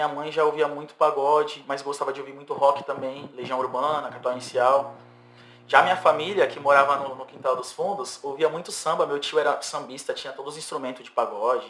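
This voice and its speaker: A man's fairly high voice, fairly even in intonation, at a fairly quick pace, with big swings in loudness and noticeable background noise. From São Vicente, São Paulo state, Brazil. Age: 30s. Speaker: singer-songwriter. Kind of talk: podcast interview.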